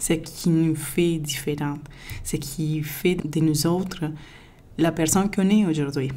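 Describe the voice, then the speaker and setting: The pace is fairly slow. An audible room echo comes through. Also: woman. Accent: non-native. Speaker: podcaster. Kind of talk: podcast monologue.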